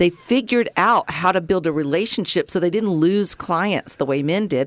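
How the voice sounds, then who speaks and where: With an American accent, a woman speaks at a fairly quick pace with lively intonation, the sound dry and close with no echo. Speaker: radio host. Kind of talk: casual chat.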